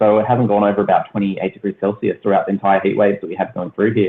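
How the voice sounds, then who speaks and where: A man with an Australian accent. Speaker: aquaponics youtuber. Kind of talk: podcast interview. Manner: fast.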